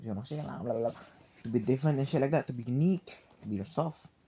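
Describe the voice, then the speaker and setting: A man with a Cebuano accent and a dark, mellow tone at a very fast pace. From Philippines, Cebuano-speaking region. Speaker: vlogger. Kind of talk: casual monologue. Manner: animated.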